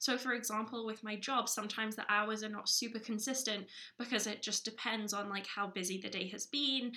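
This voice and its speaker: Noticeable background noise surrounds a woman with a fairly high pitch. She speaks at a fairly quick pace in a monotone, flat way. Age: 20s. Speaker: podcast co-host. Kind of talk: casual chat.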